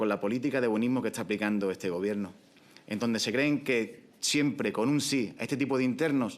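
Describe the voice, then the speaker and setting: A man with an Andalusian accent talks at a fairly quick pace. His pitch sits in the medium range with ordinary variation. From Andalusia, Spain. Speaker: prison officer, union representative. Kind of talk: public speech at panel event. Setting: conference in parliament building. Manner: impassioned, emphatic.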